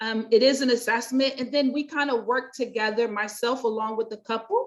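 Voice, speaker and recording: Fairly high in pitch, a woman speaks with an American accent in a plain, everyday voice with fairly even intonation. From US, North Carolina. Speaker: pastor and life coach. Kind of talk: interview.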